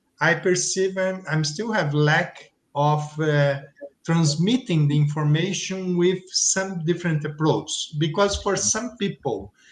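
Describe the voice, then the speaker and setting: With a Portuguese accent, a man speaks at a high pitch and a fairly slow pace, his pitch varying in an ordinary way. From Brazil. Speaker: teacher. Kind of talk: panel discussion. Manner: halting.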